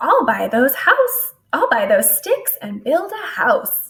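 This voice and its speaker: A woman puts on a squeaky character voice pitched extremely high, speaking at a fairly slow pace. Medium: read story. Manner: chipper, confident.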